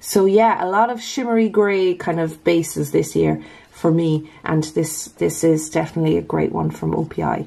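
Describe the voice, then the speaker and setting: A woman with an Irish accent talks at a moderate pace with hardly any pauses, against noticeable background noise. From Ireland. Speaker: nail polish YouTuber. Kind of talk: casual talk to camera.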